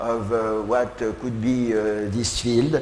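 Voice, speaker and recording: Over noticeable background noise and audible room echo, a man with a French accent speaks at a medium pitch in a monotone, flat intonation. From France, Lyon. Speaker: professor. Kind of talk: keynote lecture. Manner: halting, many filler sounds.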